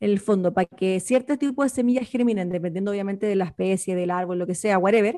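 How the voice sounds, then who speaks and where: A woman speaks with a Chilean accent at a very fast pace. Her tone is dark and mellow. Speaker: podcast co-host. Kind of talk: casual chat.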